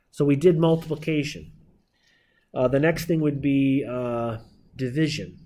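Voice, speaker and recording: Speaking at a fairly slow pace with long, frequent pauses, a man with a dark, mellow tone and ordinary pitch variation is heard against audible room echo. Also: fairly high pitch for a man. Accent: American. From Northeastern Pennsylvania (Scranton). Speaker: math teacher. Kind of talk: lecture. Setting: classroom.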